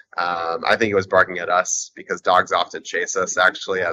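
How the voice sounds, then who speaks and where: A man speaks with an American accent at a moderate pace. Light background noise can be heard. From United States. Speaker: adventure sports athlete and paramotor pilot; interview guest. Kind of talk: interview. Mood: friendly, amused. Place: boat. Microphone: video call.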